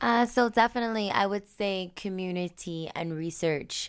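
A very clean recording with a silent background captures a woman whose pitch varies in an ordinary way. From Michigan, rural area outside Detroit. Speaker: travel group founder. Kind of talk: interview. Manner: hesitant, many fillers.

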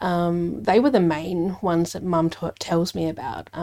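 With an Australian accent, a woman speaks in a fairly low, dark, mellow tone with ordinary pitch variation. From Adelaide, South Australia. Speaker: lawyer and mediator. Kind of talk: casual interview.

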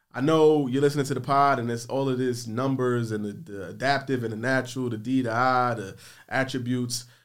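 A man's ordinary speaking voice at a medium pitch and a fairly quick pace. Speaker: podcast host. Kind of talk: casual chat. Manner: casual, upbeat.

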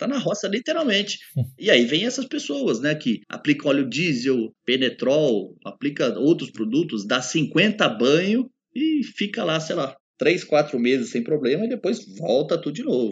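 Pitched fairly high, a man speaks at a fairly slow pace. His pitch swings very widely. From Brazil, São Paulo state interior. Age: 40s. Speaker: pest control specialist. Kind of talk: casual podcast interview.

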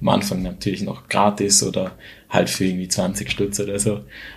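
This man's voice is fairly low and moves at a moderate pace. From Switzerland, near Schaffhausen. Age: 20s. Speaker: photographer and videographer. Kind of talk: casual interview.

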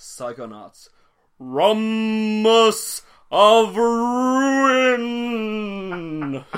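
A man puts on a character voice with a high pitch. The recording is very clean, with a silent background. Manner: booming, exaggerated announcer voice.

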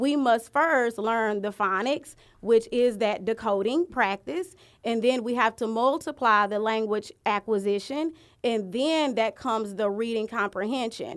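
A woman's fairly high, an ordinary speaking voice with an American accent, fairly slow pace and ordinary pitch variation, on a very clean recording with a silent background. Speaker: curriculum director. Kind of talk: casual podcast interview. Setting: studio.

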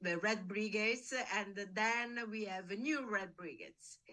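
With an Italian accent, a woman speaks at a fairly high pitch and ordinary pitch variation. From Italy. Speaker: investigative journalist. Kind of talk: interview. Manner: halting.

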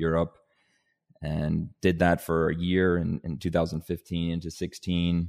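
A man with a Canadian accent speaks at a moderate pace in a very deep, low pitch with a dark, mellow tone. The sound is dry and close with no echo, very clean, with a silent background. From rural Ontario, Canada (born in Denmark). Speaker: agribusiness executive. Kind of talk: podcast interview.

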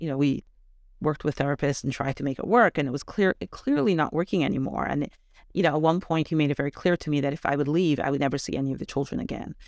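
A woman's very deep, low voice at a very fast pace with ordinary pitch variation, in a very clean recording with a silent background and a dry, close sound with no echo. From Canada. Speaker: education advocate. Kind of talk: interview.

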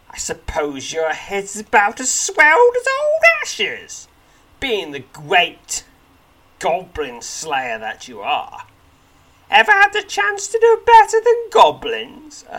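This is a put-on character voice, raised and projected at an extremely high pitch. The pace is fairly slow. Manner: taunting, sarcastic.

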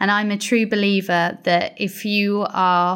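The voice carries a Welsh accent with monotone, flat intonation. The recording is very clean, with a silent background. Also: woman. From Wales, Pembrokeshire. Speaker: marine biologist. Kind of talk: interview conversation.

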